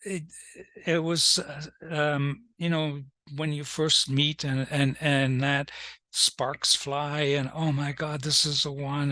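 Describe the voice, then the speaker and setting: Over a quiet background, a man with a fairly high pitch and a bright, sharp tone talks very slowly in a flat monotone. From Germany, emigrated as a child. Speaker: author. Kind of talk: interview. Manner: halting, many fillers.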